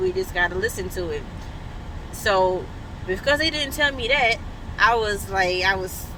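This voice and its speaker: A woman speaks at a fairly slow pace in a medium pitch. Noticeable background noise runs underneath. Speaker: parent vlogger. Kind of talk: casual vlog. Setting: on the way to appointment, then clinic room. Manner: loud.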